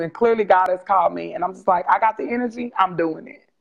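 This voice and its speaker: A woman with an American accent has an ordinary speaking voice. She talks at a fairly quick pace with ordinary pitch variation. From Texas. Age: 30s. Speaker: nonprofit founder. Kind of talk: interview testimony. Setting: livestream video call.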